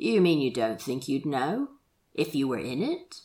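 A woman puts on a character voice at a fairly slow pace, pitched extremely low with a slightly husky edge, a dark, mellow tone and big pitch swings.

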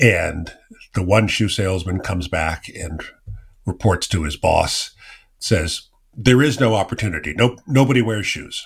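With an American accent, a man talks at a fairly slow pace in a fairly low pitch, somewhat breathy, with lively intonation. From US West Coast (Silicon Valley, California). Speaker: podcast host. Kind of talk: interview.

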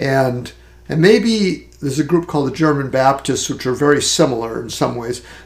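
Speaking at a moderate pace, this man has a fairly high pitch, a somewhat breathy quality and ordinary pitch variation. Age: 60s. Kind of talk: casual chat. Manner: halting.

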